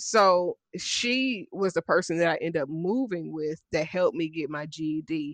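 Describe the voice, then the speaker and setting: A woman's unremarkable speaking voice, fairly low in pitch with ordinary pitch variation, in an American accent, at a fairly slow pace with hardly any pauses, dry and close with no echo. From Dayton, Ohio. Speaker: life coach and author, army veteran. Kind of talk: interview, personal life story.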